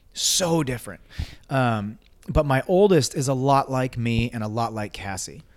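Using a plain, everyday voice, a man at a medium pitch talks at a moderate pace with lively intonation. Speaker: army veteran and security consultant. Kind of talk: casual interview. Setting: handheld microphone.

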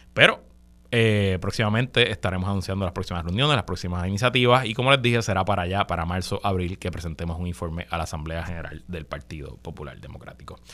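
A man with a Puerto Rican accent talks at a very fast pace in a very deep, low pitch, with ordinary pitch variation and big swings in loudness. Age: 40s. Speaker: radio host. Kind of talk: news commentary.

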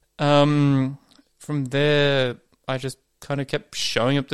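A man with an Australian accent talks at a medium pitch. The sound is dry and close with no echo, on a very clean recording with a silent background. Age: 30s. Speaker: office worker. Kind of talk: recorded testimony.

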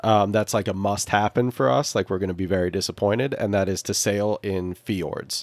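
A man talks in a normal speaking voice, fairly low in pitch with ordinary pitch variation, at a fairly quick pace with hardly any pauses. The recording is very clean, with a silent background. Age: 30s. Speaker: sailor living aboard a boat. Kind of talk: casual chat.

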